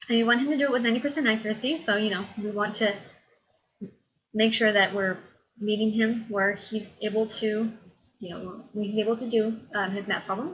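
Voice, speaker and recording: Fairly even in intonation and fairly high in pitch, a woman talks at a fairly quick pace but with long, frequent pauses. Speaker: college instructor. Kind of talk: lecture. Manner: fast.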